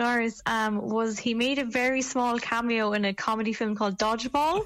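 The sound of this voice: A woman with an Irish accent speaks at a high pitch against noticeable background noise.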